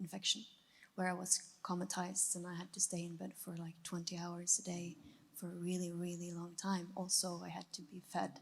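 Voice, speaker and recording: Somewhat breathy and fairly low-pitched, a woman speaks at a fairly quick pace with a Norwegian accent. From Norway. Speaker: audience member. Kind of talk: testimony.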